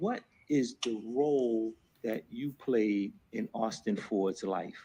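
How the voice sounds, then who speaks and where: With a New Jersey accent, a man speaks at a medium pitch with ordinary variation and a dark, mellow tone. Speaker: defense attorney. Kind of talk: courtroom examination. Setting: courtroom. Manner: fast.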